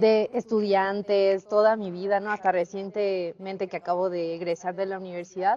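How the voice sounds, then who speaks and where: A woman's dark, mellow voice at medium pitch, moderate pace, and a quiet background. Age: 20s. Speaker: church member giving testimony. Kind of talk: testimony.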